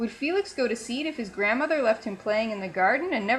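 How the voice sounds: With lively intonation, a natural reading voice fills the clip.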